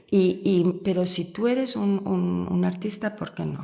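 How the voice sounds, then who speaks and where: A woman with an Italian accent speaks at a fairly slow pace. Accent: Italian-tinged Spanish. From Spain, raised in Rome. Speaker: university professor. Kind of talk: podcast interview answer.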